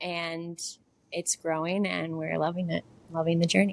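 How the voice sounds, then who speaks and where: A normal speaking voice with an American accent goes at a moderate pace. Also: woman. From US South, Nashville, Tennessee. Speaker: dance teacher and business co-owner. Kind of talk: casual interview.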